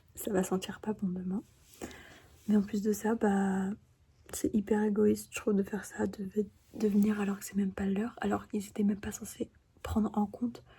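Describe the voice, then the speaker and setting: A quiet, whispering woman, somewhat breathy, at a moderate pace with long, frequent pauses. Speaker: vlogger, K-pop fan. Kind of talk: casual vlog. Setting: indoors, not at home. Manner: whispering, speaking quietly.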